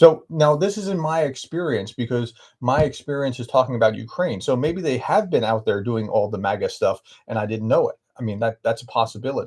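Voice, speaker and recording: The recording is very clean with a silent background. A man with an American accent speaks at a fairly quick pace and medium pitch, somewhat breathy, with lively intonation. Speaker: professor. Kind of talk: live stream Q&A, reading viewer chat. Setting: live stream. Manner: halting, many fillers.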